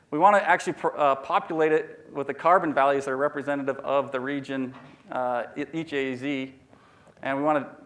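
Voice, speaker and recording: A man talks fairly quickly with fairly even intonation and a fairly high pitch while noticeable background noise runs behind him. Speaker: researcher presenting at a scientific meeting. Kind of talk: conference talk. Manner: halting, many fillers and restarts; fast.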